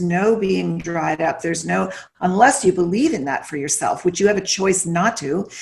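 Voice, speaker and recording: Speaking at a medium pitch and a moderate pace, a woman is heard over noticeable background noise. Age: 60s. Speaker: nutrition expert and author. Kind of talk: casual interview chat.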